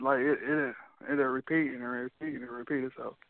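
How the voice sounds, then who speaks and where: A man with an American accent talks at a fairly quick pace in a fairly high, monotone voice with flat intonation. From US Midwest (Rockford, Illinois). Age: 20s. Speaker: rapper. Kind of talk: interview. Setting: phone call.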